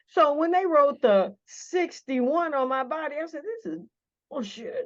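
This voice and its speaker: This woman speaks with an American accent and a high pitch. Her voice has very wide pitch swings and big swings in loudness. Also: fairly slow pace. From northern US. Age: 60s. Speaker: pastor. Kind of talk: interview. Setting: office. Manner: animated.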